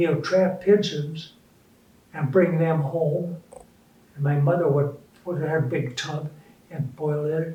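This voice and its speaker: Dark, mellow male voice with a fairly high pitch and an Upper Midwest accent, fairly slow and fairly even in intonation, broken by long, frequent pauses. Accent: Upper Midwest American. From Minneapolis, Minnesota. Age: 80s+. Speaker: retired businessman. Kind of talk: interview answer.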